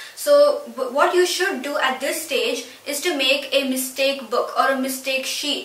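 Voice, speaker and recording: A woman's high-pitched voice with ordinary pitch variation, a fairly slow pace and audible room echo. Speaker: student educational youtuber. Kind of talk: tutorial. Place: home room.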